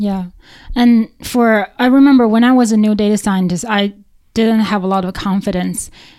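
This woman, with a Chinese accent, keeps a moderate pace and fairly even intonation. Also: fairly high pitch for a woman. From China. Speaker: podcast host, data scientist. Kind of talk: casual interview.

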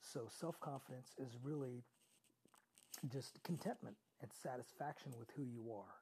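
A man speaks at a moderate pace with a medium pitch, ordinary pitch variation, a somewhat breathy, dark, mellow tone and long, frequent pauses. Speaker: podcast host. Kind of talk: solo motivational podcast monologue. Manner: conversational, motivating.

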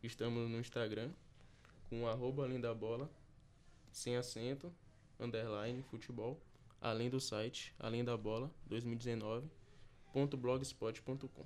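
The man speaks very slowly in a medium pitch, with long, frequent pauses. His intonation is fairly even and his loudness very even. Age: young. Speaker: podcast co-host. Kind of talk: casual chat.

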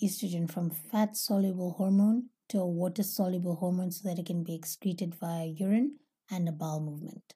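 Somewhat breathy, dark and mellow tone at a moderate pace with fairly even intonation. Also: woman. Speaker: holistic health podcast host. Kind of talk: solo educational talk.

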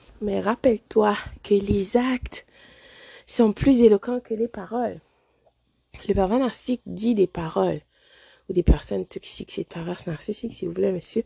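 With long, frequent pauses and big swings in loudness, a woman speaks in a somewhat breathy voice of medium pitch and ordinary pitch variation, the sound dry and close with no echo. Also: fairly slow pace. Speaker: podcast host. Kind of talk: motivational monologue. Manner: hesitant, many fillers.

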